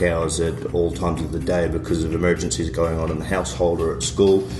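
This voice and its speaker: A man's very deep, low voice at a fairly quick pace, with noticeable background noise and audible room echo. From New Zealand. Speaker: podcast co-host. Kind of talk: podcast discussion.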